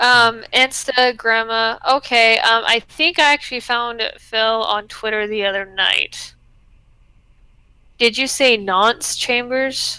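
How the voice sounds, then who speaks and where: A woman with a US West Coast accent, fairly high in pitch, with a bright, sharp tone, fairly even intonation and a very slow pace. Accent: US Pacific state accent, drops some s sounds. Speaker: YouTuber. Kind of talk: casual chat.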